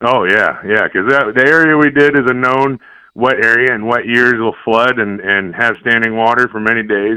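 In a plain, everyday voice with an American accent, a man speaks at a moderate pace and medium pitch with fairly even intonation. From Iowa. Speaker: tile contractor, caller. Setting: phone call.

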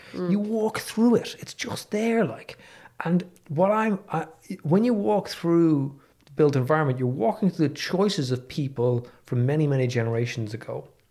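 Recorded very cleanly against a silent background, a man with a Dublin accent speaks at a moderate pace in a dark, mellow tone, his fairly high pitch making very wide swings. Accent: Irish (Dublin). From Ireland, Dublin. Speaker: economics professor. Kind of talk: casual chat. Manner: soft-spoken.

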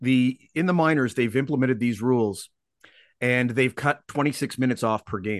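A man with a Canadian accent and an unremarkable speaking voice talks at a moderate pace, medium in pitch with ordinary pitch variation. The background is quiet, and the sound is dry and close with no echo. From Canada. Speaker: sports podcast host. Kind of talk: casual interview.

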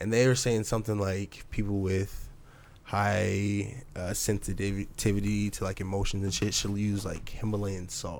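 Audible room echo surrounds a man's fairly low voice. He speaks at a fairly slow pace in a monotone, flat intonation. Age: 20s. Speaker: podcast host. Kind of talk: casual chat.

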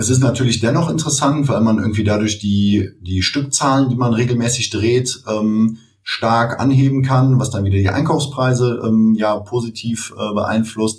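A man's somewhat breathy voice at medium pitch, moderate pace and ordinary pitch variation. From Cologne, Germany. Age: 30s. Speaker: e-commerce entrepreneur. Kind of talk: interview.

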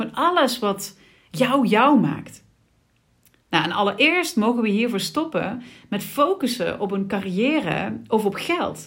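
The speech is very slow, with very wide pitch swings. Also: woman, fairly high pitch for a woman. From Sittard, Limburg, Netherlands. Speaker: podcast host, business coach. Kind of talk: solo podcast monologue. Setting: office. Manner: casual, with frequent fillers.

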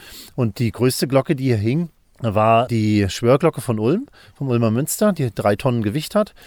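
Captured as a dry, close sound with no echo on a very clean recording with a silent background, a man with a plain, everyday voice speaks at a moderate pace with lively intonation. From northern Germany, island of Rügen (former East Germany). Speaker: bell researcher and theologian. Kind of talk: interview. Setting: soundproof bell laboratory.

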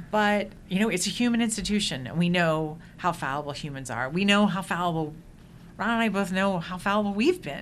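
The voice is a plain, everyday voice with an American accent. It moves at a moderate pace. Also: woman. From Indiana. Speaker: university media producer. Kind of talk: casual chat.

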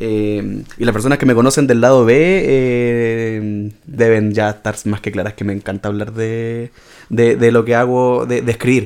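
A man with an unremarkable speaking voice talks at a fairly slow pace, at medium pitch with fairly even intonation. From Chile, Antofagasta. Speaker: writer and podcast co-host. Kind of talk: casual chat.

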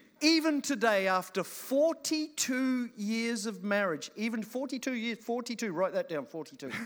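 Speaking at a very slow pace with hardly any pauses, a man uses an extremely high pitch and lively intonation. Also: very clean recording, silent background. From New Zealand / Australia. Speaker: guest preacher. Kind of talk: sermon. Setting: church service with audience.

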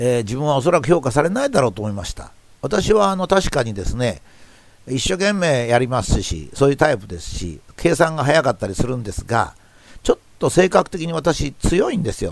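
A man with a fairly high pitch and vocal fry talks at a fairly quick pace, with very wide pitch swings and big swings in loudness. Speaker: professor and commentator. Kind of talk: reflective monologue talk.

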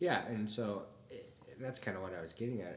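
Speech comes at a moderate pace with a Midwestern US accent and ordinary pitch variation. Audible room echo surrounds it. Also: man. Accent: US Midwest. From Toledo, Ohio, US. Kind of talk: casual interview chat.

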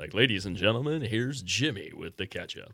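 A man puts on a booming character voice at a medium pitch. He speaks at a fairly quick pace. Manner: booming, showy.

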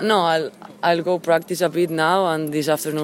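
With noticeable background noise behind her, a woman with a Spanish accent talks at a moderate pace in a very deep, low pitch with fairly even intonation. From Spain. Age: 20s. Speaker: professional tennis player. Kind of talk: post-match interview.

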